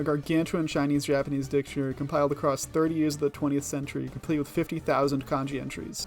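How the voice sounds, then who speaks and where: Music plays in the background as a man with a fairly high pitch talks at a very fast pace. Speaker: educational YouTuber. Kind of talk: scripted narration.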